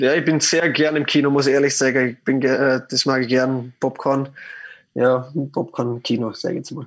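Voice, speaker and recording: Against a quiet background, a man speaks at a moderate pace with a medium pitch and monotone, flat intonation. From Austria, Vorarlberg (Lustenau). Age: 30s. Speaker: professional ice hockey player. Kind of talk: interview. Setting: remote call. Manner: halting, many fillers.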